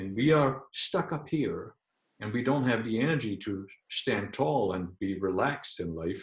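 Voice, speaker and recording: With a German accent, a man speaks at a medium pitch with lively intonation. His voice is somewhat breathy and his pace fairly slow. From Germany. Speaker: medical intuitive, energy healer. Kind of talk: interview about spiritual healing. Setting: video call. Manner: halting, with frequent repetitions.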